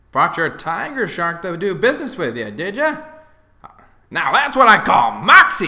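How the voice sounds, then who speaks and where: Putting on a character voice, a man speaks in a raised, projected voice at a high pitch and moderate pace, with very wide pitch swings and big swings in loudness. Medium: solo performance. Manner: brash, exuberant.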